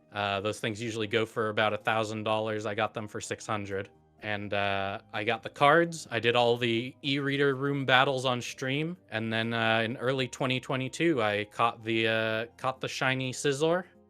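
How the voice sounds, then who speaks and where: Music plays in the background as a man talks at a moderate pace. His medium-pitched voice has ordinary pitch variation and hardly any pauses. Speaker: Pokemon YouTuber and streamer. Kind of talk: casual chat. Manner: low-energy, calm delivery; frequent filler words.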